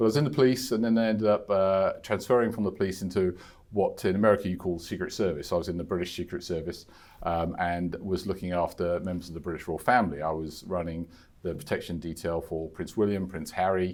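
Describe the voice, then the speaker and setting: A man with a West London accent speaks very fast in a very deep, low voice. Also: ordinary pitch variation. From England, West London. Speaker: insurance executive, former royal protection officer. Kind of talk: podcast interview. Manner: halting, many fillers and repetitions.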